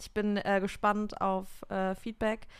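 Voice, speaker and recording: A woman at a medium pitch is heard on a very clean recording with a silent background. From Düsseldorf, Germany. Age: 20s. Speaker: musician and new podcast co-host. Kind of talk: casual chat.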